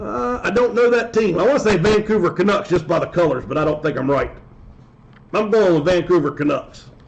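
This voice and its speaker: Lively intonation and a fairly quick pace stand out against noticeable background noise. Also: man, high pitch for a man. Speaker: sports card breaker streamer. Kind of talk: live stream commentary. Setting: live stream. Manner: speaking in a lowered voice, unnaturally.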